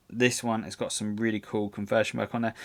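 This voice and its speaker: A very clean recording, silent behind the voice, its intonation fairly even. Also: man. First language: not English. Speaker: tabletop wargaming stream host. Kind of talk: casual live-stream chat reviewing painting entries. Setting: live stream. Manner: halting, many fillers and repeated words.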